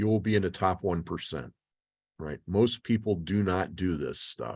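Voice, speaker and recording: A man with an ordinary speaking voice talks at a moderate pace, his fairly low pitch showing ordinary variation against a quiet background. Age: 60s. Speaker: financial speaker. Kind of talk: webinar lecture with Q&A. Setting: video call. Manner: casual, with fillers.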